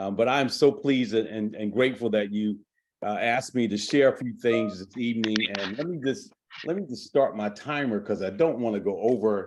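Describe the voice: A man's fairly low-pitched voice with a slightly mellow tone. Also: ordinary pitch variation, moderate pace.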